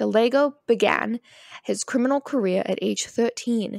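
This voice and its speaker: A woman is heard with a dry sound, no echo and a quiet background. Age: 20s. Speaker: true crime podcast co-host. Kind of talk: casual chat mixed with case narration. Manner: hesitant, many fillers. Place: home room. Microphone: handheld.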